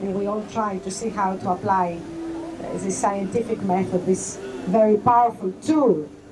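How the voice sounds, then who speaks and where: With a Greek accent, a woman speaks at medium pitch with ordinary pitch variation over noticeable background noise. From Greece. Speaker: party vice chair, political speaker. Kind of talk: rally speech. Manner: halting, with fillers.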